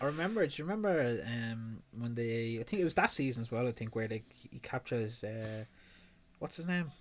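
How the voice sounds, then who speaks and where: A man at a fairly quick pace with a medium pitch and ordinary pitch variation on a very clean recording with a silent background. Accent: Dublin. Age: 20s. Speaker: podcast host. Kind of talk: casual chat.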